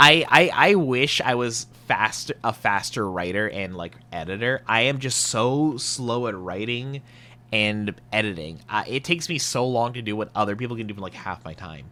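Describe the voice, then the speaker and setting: A man at a medium pitch speaks at a moderate pace with a bright, sharp tone. His intonation is lively, and his loudness swings widely. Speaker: vtuber content creator. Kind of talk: casual podcast monologue. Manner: unexcited when reading scripts; halting, repeats words.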